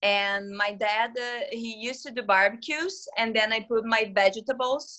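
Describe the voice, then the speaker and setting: A woman speaks at a fairly slow pace in a fairly high pitch. Her pitch variation is ordinary. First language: not English. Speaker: teacher and student. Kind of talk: casual chat.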